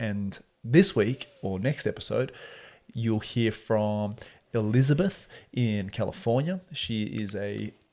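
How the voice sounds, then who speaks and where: Speaking at a very slow pace, a man with an Australian accent uses a medium pitch and ordinary pitch variation. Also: very clean recording, silent background. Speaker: podcast host. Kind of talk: casual chat.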